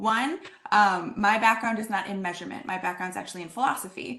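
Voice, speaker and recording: A woman at a fairly quick pace, bright, sharp tone, ordinary pitch variation, and audible room echo. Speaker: assessment speaker with philosophy background. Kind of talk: lecture. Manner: fast; animated.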